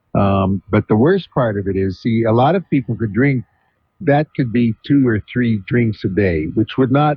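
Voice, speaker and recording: The voice is somewhat breathy. It moves at a moderate pace. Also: man. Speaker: psychiatrist, radio talk show host. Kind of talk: call-in radio advice. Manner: calm.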